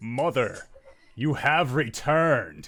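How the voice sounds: A man speaks at a medium pitch. He uses a put-on character voice.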